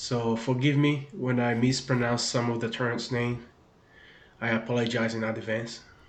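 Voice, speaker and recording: Speaking with a strong Brazilian accent, a man delivers monotone, flat intonation at a medium pitch and a moderate pace with long, frequent pauses, amid noticeable background noise and audible room echo. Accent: thick Brazilian. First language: Portuguese. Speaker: gaming video creator. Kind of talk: gaming tutorial. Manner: hesitant, many fillers and repeats.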